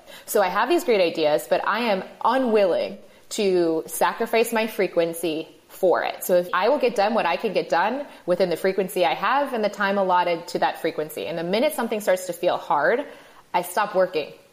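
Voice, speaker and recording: An unremarkable speaking voice from a woman at medium pitch, with ordinary pitch variation and a fairly quick pace. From Michigan. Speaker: podcaster and entrepreneur. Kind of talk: casual interview.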